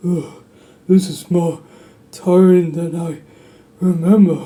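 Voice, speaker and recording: A man puts on a character voice, pitched high for a male, speaking at a fairly slow pace in a tired, weary tone with monotone, flat intonation. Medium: audio drama.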